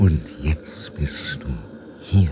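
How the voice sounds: In a put-on character voice of extremely low pitch, a man speaks at a very slow pace with a dark, mellow tone and ordinary pitch variation over faint background noise.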